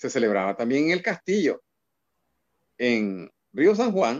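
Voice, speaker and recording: Speaking at a fairly slow pace, a man's voice moves through very wide pitch swings. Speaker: cultural promoter and journalist. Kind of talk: casual interview.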